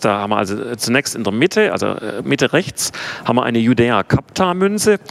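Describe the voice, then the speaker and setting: The man's voice sits at a medium pitch. His pitch swings very widely. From Swabia, Swabian Jura (southwest Germany). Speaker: theology professor. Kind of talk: lecture.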